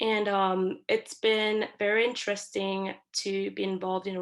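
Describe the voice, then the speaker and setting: A woman speaks at medium pitch with fairly even intonation on a very clean recording with a silent background. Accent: non-native. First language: not English. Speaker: university student. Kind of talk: class presentation. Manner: hesitant, many fillers.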